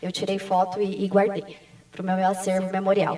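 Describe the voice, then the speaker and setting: Noticeable background noise behind the voice of a woman. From Brazil, São Paulo. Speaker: civil engineer, conference speaker. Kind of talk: conference talk. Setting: stage with audience.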